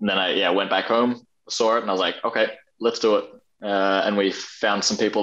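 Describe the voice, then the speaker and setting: A man with a fairly low voice talks fairly quickly in a flat monotone. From Australia, Brisbane. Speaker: parkour athlete. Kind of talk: casual interview chat. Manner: halting, many fillers.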